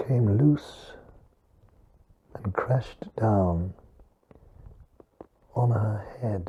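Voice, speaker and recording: A man speaks very slowly in a dark, mellow, somewhat breathy voice at medium pitch. His pitch varies in an ordinary way, with long, frequent pauses. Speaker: Holocaust survivor, eyewitness. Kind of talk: interview answer.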